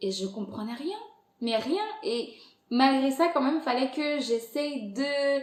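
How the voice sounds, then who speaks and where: A woman with a high pitch and lively intonation speaks at a very slow pace, leaving long, frequent pauses. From Angola. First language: Portuguese (speaking French). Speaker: podcast creator. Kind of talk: interview conversation. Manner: hesitant, many fillers.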